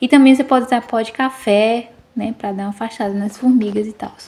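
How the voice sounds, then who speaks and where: A woman with a plain, everyday voice speaks at a moderate pace, her pitch fairly high and her intonation fairly even. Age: 30s. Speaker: vlogger. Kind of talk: casual video narration. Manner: casual, many fillers.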